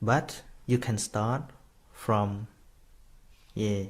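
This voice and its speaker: A man with a Khmer accent, fairly low-pitched, at a very slow pace. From Cambodia. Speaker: Buddhist monk teacher. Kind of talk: dharma talk. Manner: halting.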